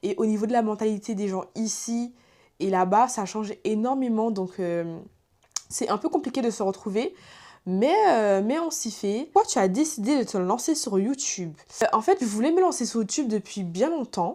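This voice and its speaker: At a moderate pace, a woman speaks with a dark, mellow tone, a fairly high pitch and very wide pitch swings. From Guadeloupe (French Antilles). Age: 20s. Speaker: YouTuber. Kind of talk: casual chat. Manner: hesitant, many fillers.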